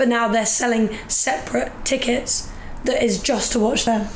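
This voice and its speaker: A woman speaks with a fairly high pitch. Noticeable background noise runs underneath. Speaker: rugby player and personal trainer. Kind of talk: casual chat. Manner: excited, upbeat.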